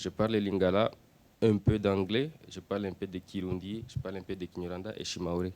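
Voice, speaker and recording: The speaker has a Swahili accent and fairly even intonation. The pace is fairly quick. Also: man, fairly low pitch for a man. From Democratic Republic of the Congo. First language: Swahili (speaking French). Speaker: refugee and interpreter. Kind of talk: audience Q&A answer.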